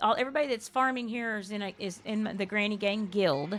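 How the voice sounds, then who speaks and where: A woman with a South Texas accent and ordinary pitch variation. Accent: Southern Texas. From US South, Texas. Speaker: game streamer. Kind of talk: casual chat. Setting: live stream.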